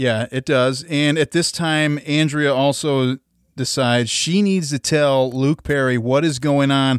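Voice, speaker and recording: On a very clean recording with a silent background, a plain, everyday voice speaks at a fairly slow pace with fairly even intonation. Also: man, fairly high pitch for a man. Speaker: podcast co-host. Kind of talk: casual chat.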